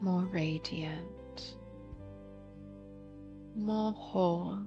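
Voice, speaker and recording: Over music in the background, a woman with a fairly low pitch moves through very wide pitch swings. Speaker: voice actor; meditation guide. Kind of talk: guided meditation. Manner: very slow, soft-spoken.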